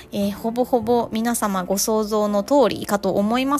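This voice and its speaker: A voice showing ordinary pitch variation comes with noticeable background noise. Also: woman. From Japan. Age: 30s. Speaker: podcast host. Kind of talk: bilingual personal monologue podcast.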